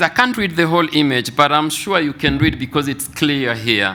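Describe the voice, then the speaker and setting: With a French accent, a man speaks at a moderate pace in a fairly high pitch, his bright, sharp tone carrying very wide pitch swings and vocal fry. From Congo (DRC). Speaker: mental health researcher. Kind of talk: conference presentation.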